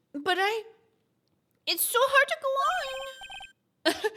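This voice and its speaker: A squeaky, put-on character voice moves at a very slow pace. Its pitch swings very widely. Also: woman, extremely high pitch for a woman. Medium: game stream. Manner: soft, delicate.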